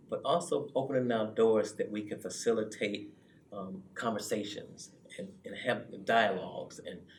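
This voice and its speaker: With audible room echo, a man speaks at a moderate pace, his loudness swinging widely. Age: 60s. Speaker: youth club director. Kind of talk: interview conversation.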